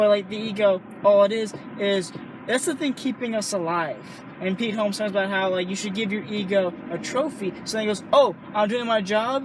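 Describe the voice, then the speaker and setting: A man speaks loudly at a high pitch in an animated tone. His pace is moderate with ordinary pitch variation, over noticeable background noise. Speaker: stand-up comedian. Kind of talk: casual chat.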